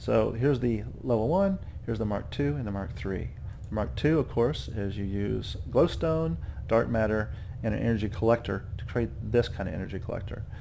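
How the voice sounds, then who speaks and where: A man's pitch swings very widely, with audible room echo around him. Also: fairly low pitch for a man. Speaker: gaming youtuber. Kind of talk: tutorial. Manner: fast; casual with many fillers.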